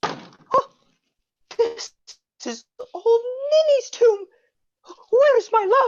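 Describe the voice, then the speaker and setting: A squeaky put-on character voice moves at a very slow pace, with long, frequent pauses. Its pitch varies in an ordinary way. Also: woman, extremely high pitch for a woman. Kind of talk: comic overacting. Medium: stage play. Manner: melodramatic, fumbling.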